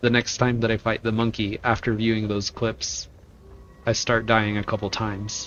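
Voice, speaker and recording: Noticeable background noise sits under a man's voice, which keeps a fairly even intonation. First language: Spanish. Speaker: video game streamer. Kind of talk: casual chat while gaming. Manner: halting.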